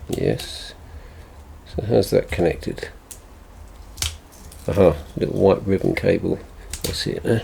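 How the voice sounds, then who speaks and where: Against noticeable background noise, a man with an English accent talks at a fairly slow pace with long, frequent pauses. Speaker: tech repair youtuber. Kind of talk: tutorial. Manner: mumbling; halting.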